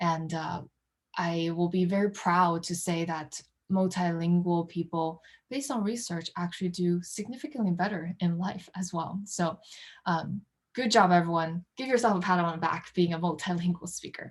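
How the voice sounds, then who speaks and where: Speaking at a moderate pace, a woman uses a fairly low pitch with ordinary pitch variation and a somewhat breathy quality. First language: not English. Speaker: workshop presenter. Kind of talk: workshop presentation. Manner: hesitant, many fillers.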